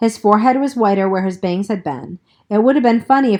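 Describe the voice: Ordinary pitch variation and plain reading aloud, over a quiet background.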